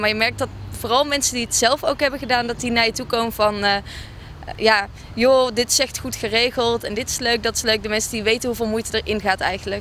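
Over light background noise, a woman speaks with fairly even intonation in a dry sound with no echo. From Brabant, Netherlands. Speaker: student association board member. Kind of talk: interview. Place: waterside. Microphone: handheld.

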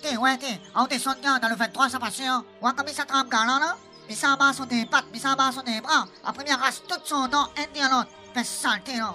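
A put-on character voice speaks at a moderate pace. Clear music plays in the background. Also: woman. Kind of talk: comic overacting. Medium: audio drama. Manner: grumbling, scolding.

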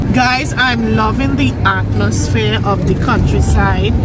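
Over loud background noise, a woman speaks at a very slow pace, the sound itself dry with no echo. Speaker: vlogger. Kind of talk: casual vlog chat. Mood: relaxed, cheerful. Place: car. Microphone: phone near.

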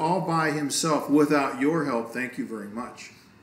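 A man at fairly high pitch and fairly slow pace, with audible room echo. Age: 50s. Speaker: pastor. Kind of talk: casual chat. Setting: indoors next to a fireplace, video recording. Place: home room.

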